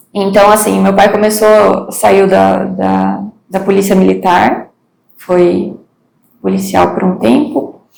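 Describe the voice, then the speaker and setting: A very slow delivery with audible room echo. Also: woman. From Brazil, Paraná (Mangueirinha, southwest). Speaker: interview guest. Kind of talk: interview, life story.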